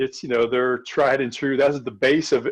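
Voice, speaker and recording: A man talks at a moderate pace with fairly even intonation and a plain, everyday voice. The sound is dry and close with no echo, and the background is quiet. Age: 60s. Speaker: cycling coach and exercise physiologist. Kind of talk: casual chat.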